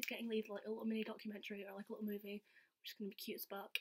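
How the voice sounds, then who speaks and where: A very fast-talking woman with a Scottish accent and a fairly high voice. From Scotland. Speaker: vlogger. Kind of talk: casual storytelling vlog. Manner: animated. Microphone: laptop.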